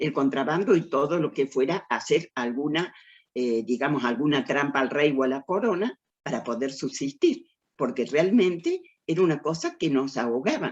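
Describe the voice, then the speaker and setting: A woman's very deep, low voice at a moderate pace, with ordinary pitch variation. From Argentina, Córdoba. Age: 80s+. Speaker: writer. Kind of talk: lecture.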